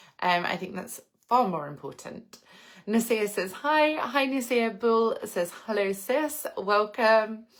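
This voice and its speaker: The speech moves at a very slow pace, with lively intonation. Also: woman, fairly high pitch for a woman. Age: 30s. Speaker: lifestyle vlogger, influencer. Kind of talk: live stream chat with viewers.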